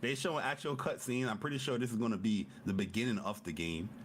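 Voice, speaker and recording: At a very fast pace, a man with a medium pitch speaks in an animated tone with lively intonation. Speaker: gaming podcast co-host. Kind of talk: casual chat. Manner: loud.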